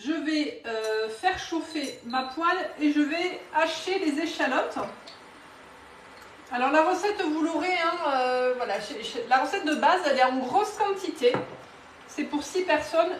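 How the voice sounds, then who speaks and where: With audible room echo, a woman speaks at a fairly slow pace in a high pitch, using lively intonation and long, frequent pauses. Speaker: cookware sales consultant. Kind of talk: live cooking demonstration. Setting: home kitchen, live stream. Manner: casual, hesitant with fillers.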